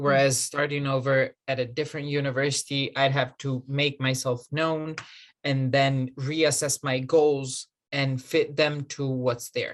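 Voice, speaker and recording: A man speaks with an Italian accent at a fairly high pitch. His pace is fairly slow and his intonation monotone and flat. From Italy. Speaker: graduate student. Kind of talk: interview.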